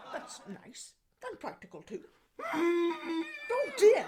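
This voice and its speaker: An extremely high-pitched put-on character voice at a very slow pace. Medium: comedy sketch. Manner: prim, genteel.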